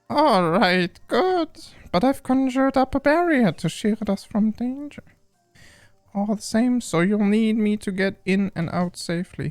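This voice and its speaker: A man uses a put-on character voice at a high pitch, with lively intonation and a moderate pace. Music plays in the background. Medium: game stream. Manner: warm, caring.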